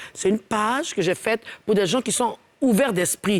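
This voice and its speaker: The sound is dry and close with no echo. A woman with a fairly high pitch talks at a fairly slow pace with lively intonation. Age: 50s. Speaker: singer. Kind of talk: casual chat. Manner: animated.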